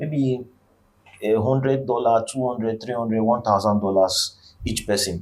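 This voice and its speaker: Speaking with an African accent, a man of medium pitch keeps a moderate pace and ordinary pitch variation. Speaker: vlogger. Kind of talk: motivational monologue. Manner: halting.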